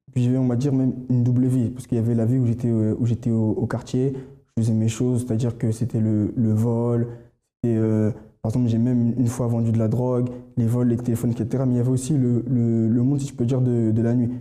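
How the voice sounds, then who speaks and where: At a very fast pace, a man speaks in a monotone, flat intonation at medium pitch, with very even loudness and a dark, mellow tone. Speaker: church member giving testimony. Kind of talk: testimony. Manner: halting, many fillers and repetitions.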